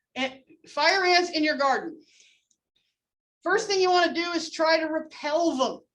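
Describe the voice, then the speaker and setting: A loud woman with an extremely high pitch, a moderate pace and long, frequent pauses. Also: fairly even intonation. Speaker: entomology instructor. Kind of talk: lecture.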